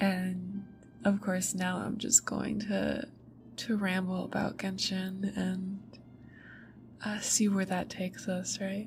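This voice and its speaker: With music in the background, the soft-spoken speaker uses a gentle tone at a very slow pace. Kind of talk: ASMR rambling about a video game, talking to the audience. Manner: soft-spoken, gentle.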